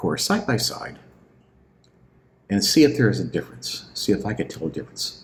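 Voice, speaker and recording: Relaxed in tone, a man with an American accent speaks with vocal fry and very wide pitch swings. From US Midwest, southern Illinois near St. Louis. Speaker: beer reviewer, channel owner. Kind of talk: casual unscripted monologue. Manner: rambling, relaxed.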